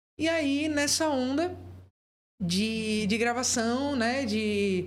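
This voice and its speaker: A woman with a high pitch is heard amid audible room echo. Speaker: entrepreneur, business founder and podcast co-host. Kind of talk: casual chat.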